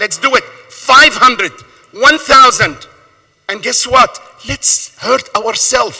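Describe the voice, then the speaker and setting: In a raised, projected voice, a man speaks at an extremely high pitch with fairly even intonation. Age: 60s. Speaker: small store owner testifying at a hearing. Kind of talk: public hearing testimony. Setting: council hearing room. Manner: impassioned, emphatic; repetitive, stammering at times.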